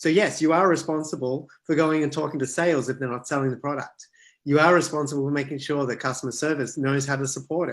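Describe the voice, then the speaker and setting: With an Australian accent, the speaker goes at a very fast pace and keeps the intonation fairly even. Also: man, fairly high pitch for a man. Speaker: author and product management speaker. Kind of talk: online talk and Q&A. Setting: video call.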